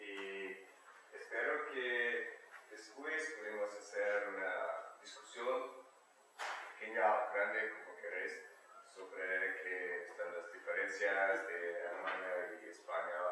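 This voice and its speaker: A man speaks at a very slow pace with a German accent, with audible room echo and noticeable background noise. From eastern Germany. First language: German (speaking Spanish). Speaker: exchange student presenter. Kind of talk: talk to an audience. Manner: halting, hesitant.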